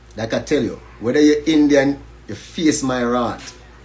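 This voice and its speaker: The speaker has a Jamaican accent and keeps a moderate pace. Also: man. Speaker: educator and livestreamer. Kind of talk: livestream monologue. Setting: Instagram live stream. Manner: animated.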